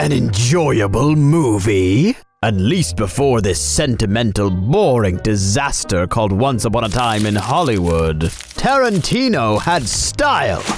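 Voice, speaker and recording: A man's cartoonish character voice at a medium pitch and a fairly slow pace, with clear music in the background. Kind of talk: comedy puppet show movie review. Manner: condescending, scornful.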